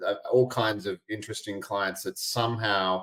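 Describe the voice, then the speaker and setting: In an Australian accent, this voice moves at a moderate pace with ordinary pitch variation. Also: man. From Australia, Albany (Western Australia). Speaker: integration coach and podcast host. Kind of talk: podcast interview.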